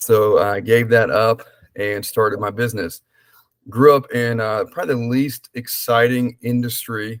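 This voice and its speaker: In a Southern US accent, a man talks with monotone, flat intonation. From US South, small-town South Carolina. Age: 30s. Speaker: life insurance specialist. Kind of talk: podcast interview. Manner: casual, with frequent fillers.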